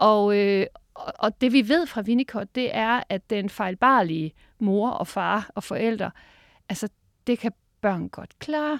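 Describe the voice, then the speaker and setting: Recorded very cleanly against a silent background, with a dry, close sound and no echo, a woman with a fairly high pitch speaks at a very slow pace. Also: lively intonation. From Denmark, Harlev near Aarhus. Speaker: professor of educational psychology. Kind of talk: interview. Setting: studio.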